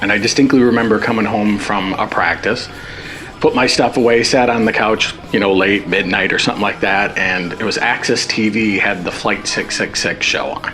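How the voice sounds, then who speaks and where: A man speaks at a fairly low pitch with fairly even intonation. Noticeable background noise is present. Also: moderate pace. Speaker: tribute band guitarist. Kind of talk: documentary interview. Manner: casual, hesitant with fillers.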